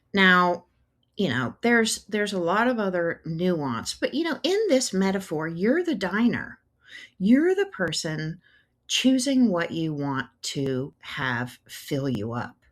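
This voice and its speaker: In a very clean recording with a silent background, the voice moves at a very slow pace with very wide pitch swings. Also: woman, medium pitch for a woman. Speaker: podcast host. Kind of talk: solo podcast monologue.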